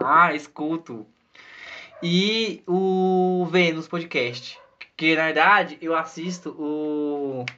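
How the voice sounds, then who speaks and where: At a very slow pace, a man with a fairly high pitch talks using ordinary pitch variation. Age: 20s. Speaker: podcast co-host. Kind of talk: casual chat.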